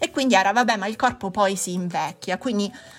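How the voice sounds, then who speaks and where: A woman speaks at a medium pitch in a normal speaking voice. Her pitch varies in an ordinary way. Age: 40s. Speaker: psychologist podcast host. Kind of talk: podcast monologue.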